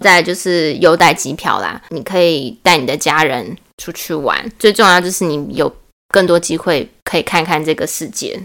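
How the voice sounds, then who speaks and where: A woman's fairly low-pitched, normal speaking voice at a moderate pace. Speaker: former flight attendant. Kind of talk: casual chat.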